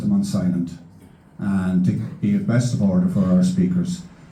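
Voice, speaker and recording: With a Donegal accent, a man speaks against noticeable background noise and audible room echo. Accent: Donegal Irish. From Ireland, County Donegal. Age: 60s. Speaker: meeting chairman, journalist. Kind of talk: public meeting chairing and introduction. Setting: hall with large audience. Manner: formal.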